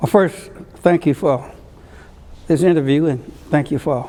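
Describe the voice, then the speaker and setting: A man speaks with an Alabama accent at a fairly slow pace. His intonation stays fairly even. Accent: Southern US (Alabama). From US South, rural Alabama (Conecuh County). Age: 80s+. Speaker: civil rights leader and politician. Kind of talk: oral history interview. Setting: courtroom. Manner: halting, with frequent fillers.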